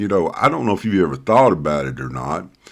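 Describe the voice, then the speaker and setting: A man speaks with a Southern US accent and some vocal fry. His pitch swings very widely. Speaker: pastor. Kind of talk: casual talk to camera. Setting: home study. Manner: halting, many fillers.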